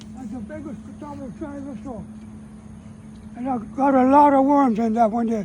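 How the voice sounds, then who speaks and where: Talking at a fairly quick pace, this man has an extremely high pitch with ordinary pitch variation. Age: 80s+. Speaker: elderly rural homesteader. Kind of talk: casual chat.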